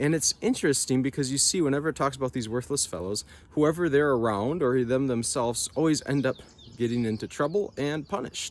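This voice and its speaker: A man with a northern US accent, fairly high in pitch, at a fairly quick pace. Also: ordinary pitch variation. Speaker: nature vlogger. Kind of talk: casual reflective vlog talk. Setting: outdoors.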